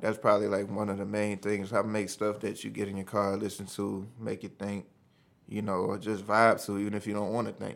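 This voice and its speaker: A man talks fairly quickly in a fairly low voice with vocal fry. His intonation is monotone and flat. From New Orleans, then Texas from 17. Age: 30s. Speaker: rapper. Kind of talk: casual chat. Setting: studio.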